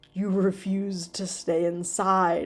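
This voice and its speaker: Putting on a raspy character voice, a woman speaks at a medium pitch with monotone, flat intonation. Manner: menacing.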